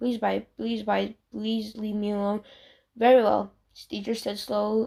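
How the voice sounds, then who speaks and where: On a very clean recording with a silent background, a woman talks at a moderate pace. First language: not English. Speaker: fanfiction reader. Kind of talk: reading aloud. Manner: halting, frequent self-corrections.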